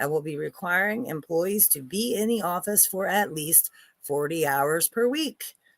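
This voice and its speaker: In an American accent, a woman with a fairly low pitch speaks with very wide pitch swings on a very clean recording with a silent background. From Delaware, US. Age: 40s. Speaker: livestream commentator. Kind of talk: casual livestream commentary, reading news aloud. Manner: halting, stumbles while reading.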